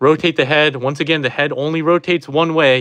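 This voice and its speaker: Over a quiet background, a man with a bright, sharp tone speaks at a fairly quick pace. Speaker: toy reviewer. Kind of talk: product review tutorial. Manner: halting, many fillers.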